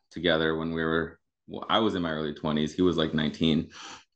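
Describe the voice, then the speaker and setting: A man with an American accent talks in a very deep, low pitch against a quiet background. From Michigan, near Grand Rapids. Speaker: punk guitarist and restaurant marketing manager. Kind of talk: casual chat.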